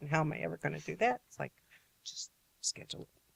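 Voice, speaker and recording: A woman with an American accent talks at a fairly quick pace. The sound is dry and close, with no echo. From New York. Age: 60s. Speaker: author and photographer. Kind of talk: interview. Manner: animated.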